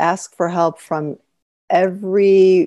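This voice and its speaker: A woman with a Chicago accent speaks in a dark, mellow tone. The sound is dry and close with no echo, on a very clean recording with a silent background. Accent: Chicago American. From US Midwest, Chicago. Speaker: author, expat spouse. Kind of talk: interview conversation.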